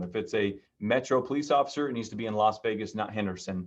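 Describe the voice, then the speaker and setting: A man's voice with ordinary pitch variation. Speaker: real estate agent teaching a class. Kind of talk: online training class. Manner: fast.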